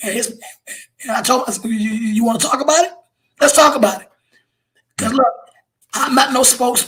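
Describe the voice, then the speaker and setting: A man's extremely high-pitched, animated voice at a fairly quick pace, with ordinary pitch variation, big swings in loudness and long, frequent pauses. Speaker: police officer. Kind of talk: casual chat.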